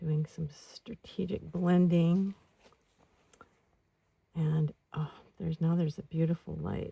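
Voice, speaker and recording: A soft-spoken woman's calm, somewhat breathy voice, dark and mellow and fairly low in pitch, at a very slow pace with long, frequent pauses, in a dry, close sound with no echo. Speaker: outdoor oil painter, ASMR creator. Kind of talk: ASMR painting narration. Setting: outdoors, mountain saddle with birdsong and breeze. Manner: soft-spoken, calm.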